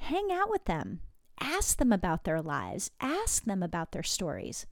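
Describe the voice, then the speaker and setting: A woman's animated tone at a moderate pace, on a very clean recording with a silent background. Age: 50s. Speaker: podcast host and life coach. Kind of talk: casual monologue.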